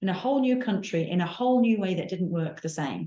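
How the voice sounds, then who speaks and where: Speaking at a fairly quick pace with a Manchester accent, a woman uses lively intonation in a somewhat breathy, dark, mellow voice of medium pitch. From northern England, Manchester. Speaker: nursing professor and researcher. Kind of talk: panel discussion.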